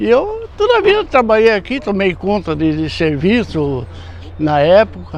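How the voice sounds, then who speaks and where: Noticeable background noise under a man's fairly slow speech. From Brazil, rural São Paulo coast region. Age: 70s. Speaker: banana farmer. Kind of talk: interview. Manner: halting.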